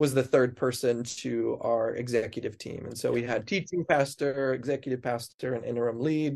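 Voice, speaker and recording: This man has a plain, everyday voice and an American accent. He talks at a moderate pace and medium pitch, with fairly even intonation. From US Pacific Northwest, Snoqualmie Valley, Washington. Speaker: pastor. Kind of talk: casual chat.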